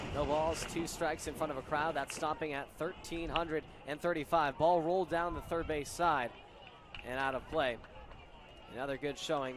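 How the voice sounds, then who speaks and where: This man has a plain, everyday voice with a fairly high pitch. He keeps a moderate pace and fairly even intonation. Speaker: baseball play-by-play broadcaster. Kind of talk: live baseball play-by-play commentary.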